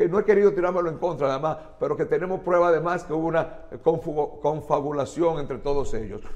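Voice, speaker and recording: A high-pitched man with a Dominican accent at a moderate pace, quiet background. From Dominican Republic. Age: 60s. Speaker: chemist and politician; politician. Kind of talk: TV interview. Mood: indignant, angry. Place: studio. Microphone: lapel.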